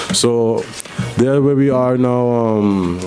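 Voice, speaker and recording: With music in the background, a man speaks at a medium pitch. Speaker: small business owner. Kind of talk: radio interview.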